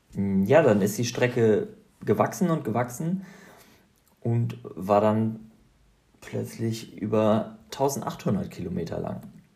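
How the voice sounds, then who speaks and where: Over audible room echo, a man with a dark, mellow tone and medium pitch speaks at a very slow pace, with lively intonation and long, frequent pauses. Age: 30s. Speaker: podcast host, ultrarunner. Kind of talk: casual monologue. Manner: hesitant, many fillers.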